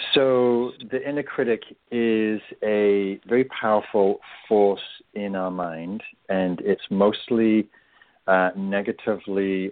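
A man speaks with an English accent. His pitch sits fairly low. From England. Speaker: meditation teacher and author. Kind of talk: radio interview.

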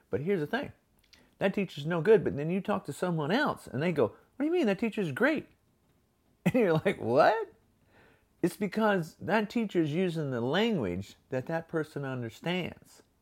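This man's voice is high-pitched, with very wide pitch swings and an animated tone. The recording is very clean, the background silent. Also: moderate pace. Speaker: podcast host. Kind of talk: motivational monologue. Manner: animated, gestures a lot.

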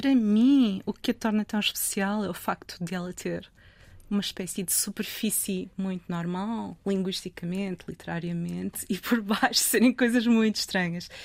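Speaking at a moderate pace, a woman has a medium pitch and fairly even intonation in a plain, everyday voice. The recording is very clean, with a silent background. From northern Portugal, Trofa. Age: 50s. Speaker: literary translator. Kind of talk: interview conversation.

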